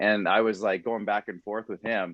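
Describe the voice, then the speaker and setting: This is an unremarkable speaking voice. It carries a Canadian accent. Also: man. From Saskatchewan, Canada. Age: 30s. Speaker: podcast producer and social media creator. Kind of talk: casual interview chat.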